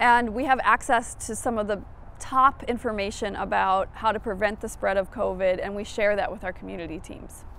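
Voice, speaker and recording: A woman speaks with vocal fry at medium pitch. She keeps a moderate pace and fairly even intonation. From Minnesota. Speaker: public health researcher. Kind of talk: interview.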